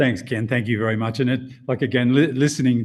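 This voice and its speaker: With a slight Australian accent, a man talks at a fairly quick pace, his medium-pitched voice keeping a fairly even intonation. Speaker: insurance executive. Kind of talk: podcast interview. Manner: halting, with many repetitions.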